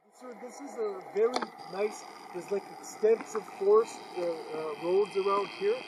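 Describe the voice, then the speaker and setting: Background noise is noticeable. Through it comes a man's voice. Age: 60s. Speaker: vlogger. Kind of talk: casual chat. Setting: outdoors. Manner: halting.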